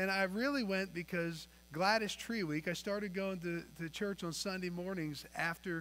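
A man with a bright, sharp tone talks at a moderate pace with ordinary pitch variation. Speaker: preacher. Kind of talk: sermon. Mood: warm, storytelling. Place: church.

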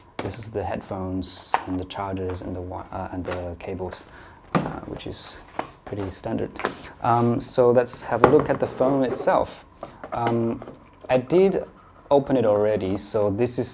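Speaking at a fairly slow pace, a man leaves long, frequent pauses and swings widely in loudness over noticeable background noise. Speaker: tech reviewer. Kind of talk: product review unboxing. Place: studio. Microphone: lapel.

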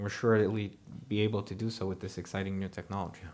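The speaker is a man with a Romanian accent. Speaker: energy company CEO; panelist. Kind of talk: prepared speech and panel discussion. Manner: hesitant, many fillers. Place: stage.

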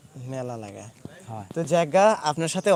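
The sound is dry and close, with no echo. A man speaks with ordinary pitch variation. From Bangladesh, Pabna district. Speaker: agricultural market video creator. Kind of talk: solo livestream talk and field interviews. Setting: outdoors in farm fields. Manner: halting, many fillers.

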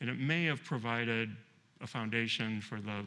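A man talks at a fairly slow pace in a medium pitch with ordinary pitch variation. His tone is bright and sharp.

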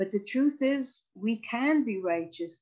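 A woman speaks against a quiet background. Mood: earnest, reflective. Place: home room. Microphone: video call.

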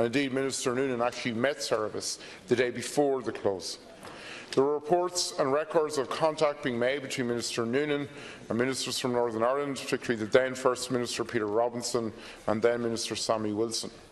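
A man rushes through his words at a very fast pace over light background noise. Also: fairly even intonation. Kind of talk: parliamentary question speech. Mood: critical, pressing questions. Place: hall. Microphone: podium.

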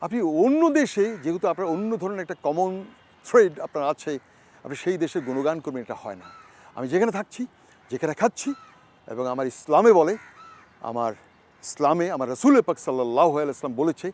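Over noticeable background noise, a man's high voice swings very widely in pitch, recorded dry and close with no echo. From Bangladesh, Hatiya island and Chittagong. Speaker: travel vlogger. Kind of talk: interview. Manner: halting.

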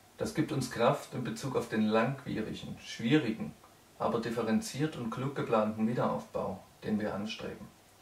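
A man at a moderate pace with fairly even intonation and audible room echo. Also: fairly low pitch for a man.

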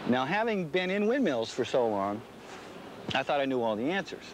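A man speaks at a moderate pace with lively intonation. The sound is dry with no echo, over light background noise. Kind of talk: interview answer. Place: open country. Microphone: lapel.

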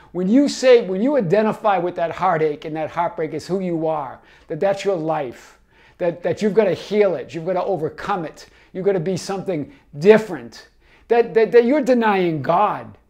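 With a Boston accent and lively intonation, a man talks at a moderate pace in a high voice over a quiet background. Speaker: life coach. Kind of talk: casual talk to camera. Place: home room. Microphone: lapel.

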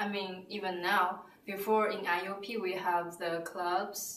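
Over light background noise and audible room echo, a woman with a Chinese accent speaks at a fairly slow pace. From China; southern China. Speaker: student. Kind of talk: interview answer. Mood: relaxed, positive. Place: office.

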